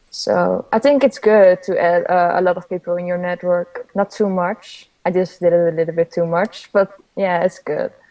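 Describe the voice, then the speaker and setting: With a Dutch accent, this speaker keeps a moderate pace and fairly even intonation, hardly pausing at all. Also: woman, medium pitch for a woman. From Netherlands. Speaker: graphic designer and illustrator. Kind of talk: interview.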